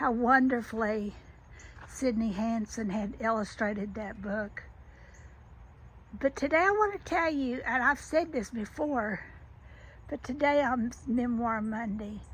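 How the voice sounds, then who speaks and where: A woman's fairly high voice in a Southern US accent, at a fairly slow pace with long, frequent pauses and ordinary pitch variation. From US South. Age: 70s. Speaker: children's author. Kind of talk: casual vlog monologue. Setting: outdoors in garden. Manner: halting, many restarts.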